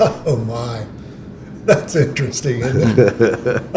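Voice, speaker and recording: Audible room echo and noticeable background noise surround a man who speaks very slowly. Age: 70s.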